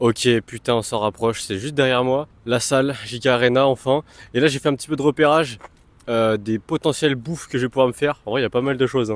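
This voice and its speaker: At a very fast pace, a man of medium pitch talks with fairly even intonation in a dry, close sound with no echo. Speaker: fitness vlogger. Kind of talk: vlog. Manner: casual, filler-heavy.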